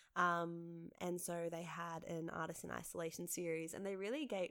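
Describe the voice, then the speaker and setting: This woman has an Australian accent and a fairly low voice. Her intonation stays flat and monotone. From Western Sydney, Australia. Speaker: theatre maker and director. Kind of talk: casual interview.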